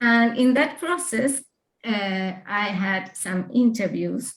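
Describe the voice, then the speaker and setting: A woman with a Spanish accent and a fairly high pitch speaks at a very slow pace with ordinary pitch variation. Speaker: author with Parkinson's disease. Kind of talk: presentation. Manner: halting.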